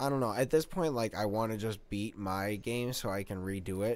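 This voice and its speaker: Man with a plain, everyday voice, fairly low in pitch, fairly quick, with fairly even intonation. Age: 30s. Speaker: podcast co-host. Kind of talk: casual chat.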